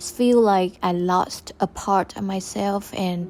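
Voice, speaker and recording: This woman speaks at a medium pitch. Her intonation is monotone and flat. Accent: non-native. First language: Vietnamese. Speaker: podcaster. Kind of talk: personal reflection monologue.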